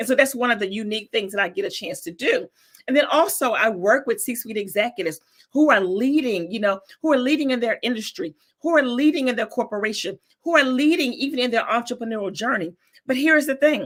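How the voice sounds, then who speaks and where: Speaking at a very fast pace, a woman with a Southern US accent uses a high pitch, lively intonation and an animated tone. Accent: Southern US accent, less thick than before. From North Carolina, US South. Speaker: business coach. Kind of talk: interview.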